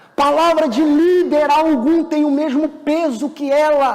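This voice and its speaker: Against noticeable background noise, a man with an extremely high pitch talks at a fairly slow pace with fairly even intonation. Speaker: pastor. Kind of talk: sermon.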